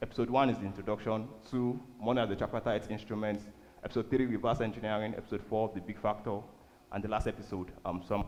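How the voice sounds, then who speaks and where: Someone speaks at a very fast pace amid audible room echo. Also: man. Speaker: church speaker on finance. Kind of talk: sermon.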